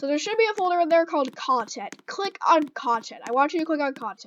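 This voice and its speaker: The voice is loud, with ordinary pitch variation, and the pace is moderate. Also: woman. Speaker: gaming YouTuber. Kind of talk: tutorial. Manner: halting, many fillers. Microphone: new microphone.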